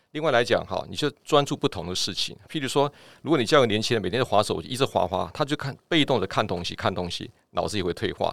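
A man talks at a very fast pace with lively intonation. The recording is very clean, with a silent background. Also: medium pitch for a man. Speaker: doctor. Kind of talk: casual chat.

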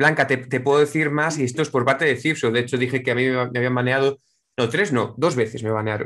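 With a Castilian accent, a man talks at a very fast pace using fairly even intonation. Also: medium pitch for a man. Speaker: online game player. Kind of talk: casual chat.

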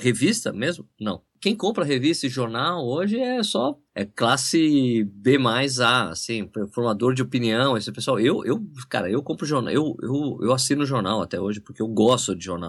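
With an unremarkable speaking voice, a man talks at a moderate pace and medium pitch, his intonation lively. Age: 40s. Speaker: running YouTuber and journalist. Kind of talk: casual interview chat.

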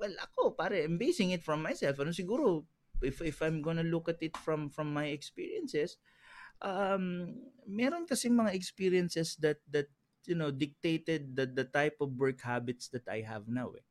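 The speech has lively intonation at a moderate pace. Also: man, high pitch for a man. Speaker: entrepreneur. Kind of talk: casual chat. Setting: studio.

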